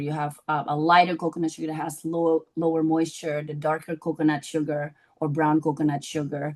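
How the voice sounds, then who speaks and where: A woman's very deep, low voice at a very fast pace, with hardly any pauses. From Indonesia. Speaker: chef. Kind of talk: panel discussion. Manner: halting, many fillers.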